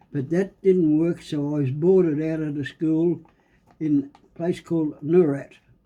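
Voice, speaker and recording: A man's fairly high, dark and mellow voice in a strong Australian accent, monotone and flat, at a fairly slow pace with big swings in loudness. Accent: broad Australian. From Australia, rural Victoria. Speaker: great-grandfather interviewee. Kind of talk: casual interview.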